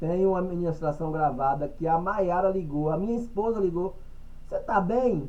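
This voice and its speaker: A dark, mellow tone carries ordinary pitch variation at a moderate pace, with audible room echo. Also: man, high pitch for a man. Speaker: church group member. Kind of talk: group Bible study discussion. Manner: energetic, repetitive stammering.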